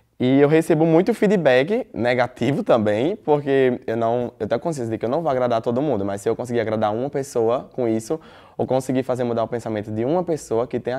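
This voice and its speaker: A man with a dark, mellow tone speaks at a very fast pace with hardly any pauses against a quiet background. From Brazil, interior of Rio Grande do Norte (Caicó); Rio Grande do Norte, Brazil. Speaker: student, DJ and influencer; interviewee. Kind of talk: interview. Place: studio. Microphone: lapel.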